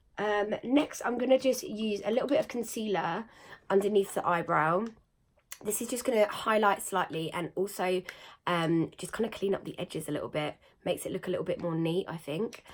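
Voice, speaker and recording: In a British accent, a woman talks with ordinary pitch variation. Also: medium pitch for a woman, fairly quick pace. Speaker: beauty vlogger. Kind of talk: makeup tutorial. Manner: casual, with fillers.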